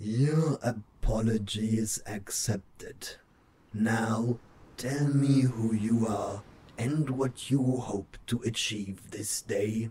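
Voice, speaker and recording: In a put-on character voice, a man speaks very slowly with a raspy sound, a medium pitch and fairly even intonation. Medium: read story. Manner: formal, stately.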